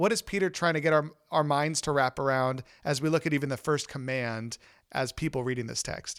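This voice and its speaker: An ordinary speaking voice moves at a fairly quick pace with ordinary pitch variation. The recording is very clean, with a silent background and a dry, close sound with no echo. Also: man, fairly high pitch for a man. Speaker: senior pastor and podcast host. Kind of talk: interview.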